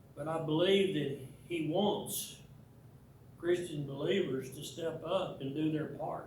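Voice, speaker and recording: In an American accent, a man speaks at a fairly slow pace with a fairly high pitch. His intonation is fairly even, and audible room echo surrounds him. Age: 80s+. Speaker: church teacher. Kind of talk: church talk / lecture. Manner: halting, many repetitions.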